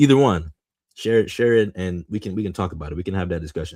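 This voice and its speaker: At a very fast pace, a man with a very deep, low pitch talks in an animated tone with ordinary pitch variation. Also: very clean recording, silent background. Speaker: podcast host. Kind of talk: casual podcast monologue. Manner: halting, stumbling over words.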